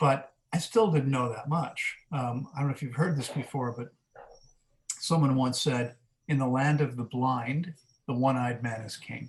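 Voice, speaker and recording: At a moderate pace, a man with a General American accent speaks somewhat breathy at a medium pitch, with ordinary pitch variation and big swings in loudness. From US Mid-Atlantic (Maryland, near Washington DC). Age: 50s. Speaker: fasting coach, wellness center director. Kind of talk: podcast interview. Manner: conversational, with frequent fillers.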